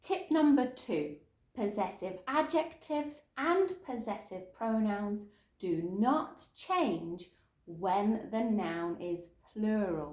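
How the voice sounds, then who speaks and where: The speaker talks very slowly with a southern English accent, somewhat breathy, and the pitch swings very widely. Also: woman. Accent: Southern British English. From Southern England. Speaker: English teacher. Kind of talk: English lesson for beginners. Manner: slow, clear.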